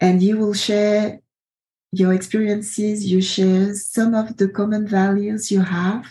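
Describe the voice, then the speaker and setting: Somewhat breathy and dark, mellow in tone, a woman's medium-pitched voice moves at a fairly slow pace with monotone, flat intonation. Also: very even loudness. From Ivory Coast. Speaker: podcast host. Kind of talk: casual interview conversation.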